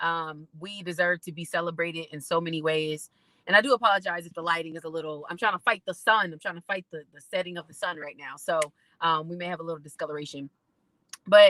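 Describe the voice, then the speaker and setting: A woman's fairly low, bright, sharp voice with an American accent, at a very fast pace with fairly even intonation and big swings in loudness, in a dry, close sound with no echo. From Indiana, Indianapolis. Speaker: singer-songwriter and poet, creative coach. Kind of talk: personal testimony at online conference.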